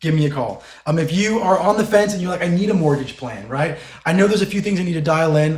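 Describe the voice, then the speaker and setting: A man with a high voice talks very fast in an animated tone, his pitch moving a normal amount, with clear echo from the room. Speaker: mortgage lender. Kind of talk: podcast interview.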